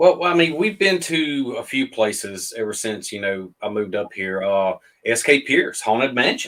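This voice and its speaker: At a moderate pace, a man with a Southern US accent speaks with very wide pitch swings. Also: medium pitch for a man. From Mississippi. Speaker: paranormal investigator. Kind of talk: casual interview chat. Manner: halting, many fillers.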